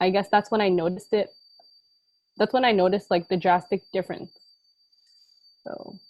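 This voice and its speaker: An unremarkable speaking voice from a woman, medium in pitch, with ordinary pitch variation. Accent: American. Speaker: college student, club panelist. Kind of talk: panel discussion.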